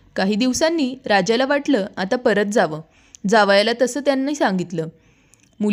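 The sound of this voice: Just an unforced reading voice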